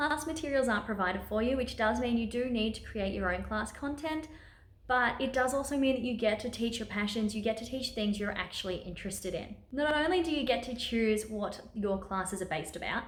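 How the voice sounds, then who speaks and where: A woman's fairly high, upbeat voice in an Australian accent, fairly quick, with ordinary pitch variation and audible room echo. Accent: Australian, sometimes taken for British. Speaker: online teacher and video creator. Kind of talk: tutorial vlog. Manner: upbeat, chatty.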